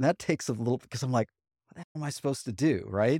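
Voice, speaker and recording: An unremarkable speaking voice from a man at medium pitch, dry and close with no echo, on a very clean recording with a silent background. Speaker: fitness author. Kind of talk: casual interview.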